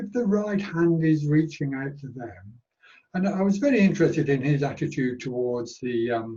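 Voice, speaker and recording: A somewhat breathy man with a British accent, fairly high in pitch, with a dark, mellow tone, lively intonation and a moderate pace. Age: 80s+. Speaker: panel speaker, care leaver. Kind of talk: panel discussion.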